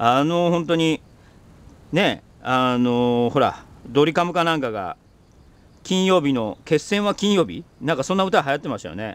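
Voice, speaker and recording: The delivery has lively intonation at a moderate pace. The sound is dry, with no echo. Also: man, fairly high pitch for a man. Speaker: organic farmer, video host; video host. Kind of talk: casual monologue while working on the farm. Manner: chatty, rambling at length. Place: farm machine. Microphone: phone near.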